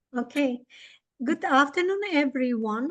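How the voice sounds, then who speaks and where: At a fairly slow pace, a woman speaks with a high pitch. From Bulgaria. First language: Bulgarian. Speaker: English teacher and webinar presenter. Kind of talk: webinar presentation.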